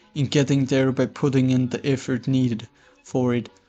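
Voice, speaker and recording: A man's medium-pitched, monotone voice with flat intonation at a moderate pace, with music in the background. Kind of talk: philosophical explainer narration. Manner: dry.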